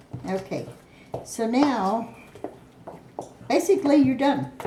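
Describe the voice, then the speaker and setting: Over noticeable background noise and audible room echo, a woman talks at a fairly slow pace in a high voice with ordinary pitch variation. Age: 60s. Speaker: home cook. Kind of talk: cooking tutorial. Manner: casual, meandering.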